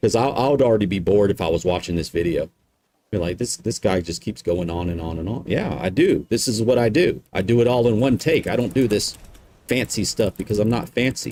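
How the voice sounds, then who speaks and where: With a Southern US accent, a man speaks at a fairly quick pace with lively intonation. His voice is fairly low, with a dark, mellow tone. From US South. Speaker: video game streamer. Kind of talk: gameplay tutorial. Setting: live stream. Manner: casual, rambling.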